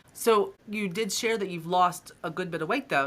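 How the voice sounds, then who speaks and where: Speaking in a normal speaking voice, a woman keeps a moderate pace and ordinary pitch variation. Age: 40s. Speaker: podcast host. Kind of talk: interview. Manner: upbeat.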